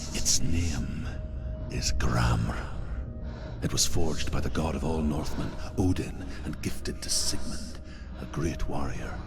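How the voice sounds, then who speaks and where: Over loud music in the background, a man uses a put-on character voice at a fairly slow pace. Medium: machinima. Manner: grave, measured.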